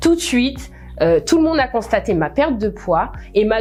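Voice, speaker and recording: A woman's fairly high voice with very wide pitch swings, music in the background. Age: 30s. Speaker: network marketing distributor. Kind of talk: testimony.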